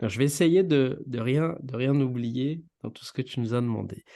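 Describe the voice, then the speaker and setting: Over a quiet background, a man talks at a medium pitch with ordinary pitch variation and a dark, mellow tone. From Réunion (Saint-Benoît, east). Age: 30s. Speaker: podcast co-host, engineer. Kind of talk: casual interview chat. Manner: hesitant, many fillers.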